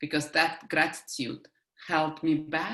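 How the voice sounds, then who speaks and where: A woman's very deep, low pitch with a bright, sharp tone, in a strong Russian accent. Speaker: life coach. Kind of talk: interview conversation.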